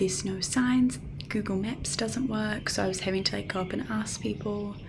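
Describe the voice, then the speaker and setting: Woman's voice with noticeable background noise and audible room echo. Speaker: travel vlogger. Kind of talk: vlog to camera. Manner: casual, many fillers; soft-spoken, talking quietly.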